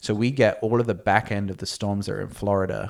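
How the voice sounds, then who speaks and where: A man with an English accent, fairly low in pitch and fairly even in intonation, on a very clean recording with a silent background. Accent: English, noticeable to American hosts. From Cornwall, southwest England. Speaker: podcast guest. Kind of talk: casual chat.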